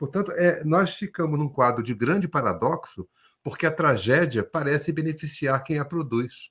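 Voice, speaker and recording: A normal speaking voice with ordinary pitch variation comes at a moderate pace on a very clean recording with a silent background. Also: man, fairly high pitch for a man. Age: 60s. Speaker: education policy expert. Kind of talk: panel discussion.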